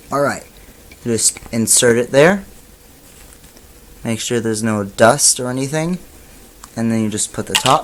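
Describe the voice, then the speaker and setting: A man's medium-pitched voice at a fairly slow pace with long, frequent pauses, ordinary pitch variation, and noticeable background noise. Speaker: tech reviewer. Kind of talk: product review tutorial. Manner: trying to sound more animated.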